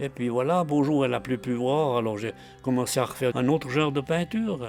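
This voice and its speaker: A man speaks at a fairly quick pace and medium pitch. Music plays in the background. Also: ordinary pitch variation. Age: 80s+. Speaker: artist, painter and mosaicist. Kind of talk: documentary interview answer.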